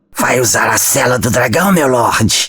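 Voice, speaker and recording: He is a man using a put-on character voice that sounds raspy, pitched at a medium level. His delivery moves at a moderate pace. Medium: read story. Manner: deferential.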